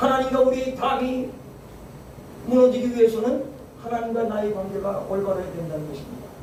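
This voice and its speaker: A man's extremely high voice at a fairly quick pace, with long, frequent pauses, ordinary pitch variation, big swings in loudness, audible room echo and noticeable background noise. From Seoul, South Korea. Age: 60s. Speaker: pastor. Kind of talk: sermon. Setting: church prayer meeting.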